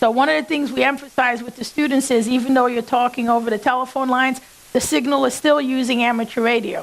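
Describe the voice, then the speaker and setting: Through noticeable background noise, a woman with a New England accent talks very fast at a high pitch with fairly even intonation. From New York. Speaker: engineer and ham radio operator. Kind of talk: conference talk.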